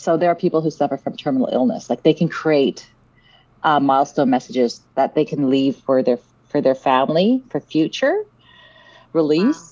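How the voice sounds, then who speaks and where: A woman's very deep, low voice with a dark, mellow tone and a Canadian accent, lively intonation, very even loudness, and a moderate pace. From Vancouver, Canada (born in South Africa). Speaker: app founder and CEO. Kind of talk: podcast interview.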